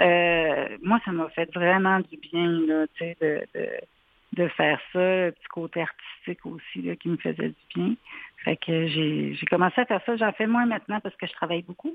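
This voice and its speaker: Fairly slow in pace, a woman speaks in a plain, everyday voice at a fairly low pitch with ordinary pitch variation. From Quebec City. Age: 40s. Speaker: psychoeducator. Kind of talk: radio interview.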